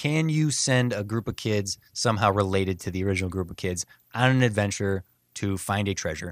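Recorded very clean with a silent background and a dry, close sound with no echo, a man with an ordinary speaking voice talks at a fairly quick pace, fairly low in pitch with ordinary pitch variation. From US Midwest. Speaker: podcast host. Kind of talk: casual chat.

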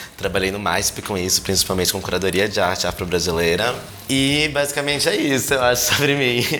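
A man's fairly low voice with lively intonation at a fairly quick pace, amid noticeable background noise and audible room echo. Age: 20s. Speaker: production and projects director. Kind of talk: casual podcast interview.

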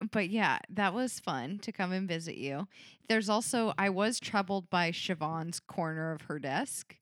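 A woman speaks at a moderate pace with lively intonation in an ordinary speaking voice, on a very clean recording with a silent background. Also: medium pitch for a woman. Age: 20s. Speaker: podcast co-host. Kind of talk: casual chat.

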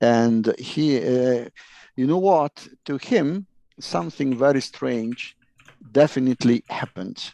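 Speaking at a very slow pace, a man uses lively intonation at a medium pitch, his dark, mellow tone captured with a dry, close sound and no echo. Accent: Italian. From Italy. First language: Italian. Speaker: UFO researcher. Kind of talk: interview. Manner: halting.

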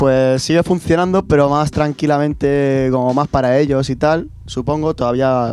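In an ordinary speaking voice, a man talks at a moderate pace and fairly high pitch, with hardly any pauses, very even loudness and fairly even intonation. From Spain, Castilla-La Mancha (Puertollano). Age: 20s. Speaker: professional skateboarder. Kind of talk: interview conversation. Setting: studio.

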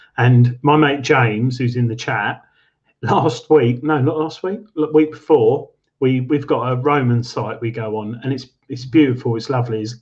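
Man with an English accent, somewhat breathy, at a medium pitch, with fairly even intonation and a moderate pace. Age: 30s. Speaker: metal detecting show co-host. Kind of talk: casual chat.

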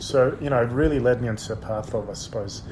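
A man speaks with fairly even intonation. Noticeable noise runs in the background. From Australia, Sydney (born in Odessa, Ukraine). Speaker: human rights lawyer and advocacy director. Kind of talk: interview.

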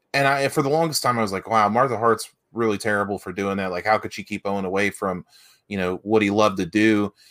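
A man with an Appalachian accent at a very fast pace, fairly low in pitch with ordinary pitch variation, in a very clean recording with a silent background. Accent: Appalachian US Southern. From West Virginia. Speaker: wrestling podcast co-host. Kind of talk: casual chat.

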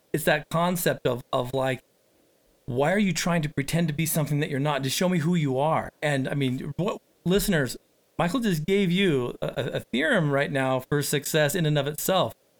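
Recorded with a dry, close sound and no echo, a man speaks in a plain, everyday voice at a moderate pace, fairly high in pitch with ordinary pitch variation. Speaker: podcast host and recovery coach. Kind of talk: podcast interview.

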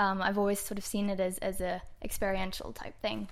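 Spoken at a fairly slow pace with an Australian accent, the voice stays monotone and flat over a very clean recording with a silent background. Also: woman. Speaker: wine importer. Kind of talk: wine tasting chat.

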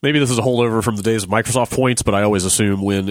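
A man's fairly low-pitched, ordinary speaking voice with ordinary pitch variation. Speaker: podcast host. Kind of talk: casual chat.

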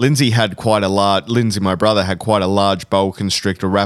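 The intonation stays fairly even. It is a natural reading voice.

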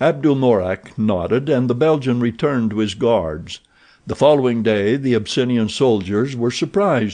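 In a natural voice, a text is read aloud, and the pitch varies by an ordinary amount.

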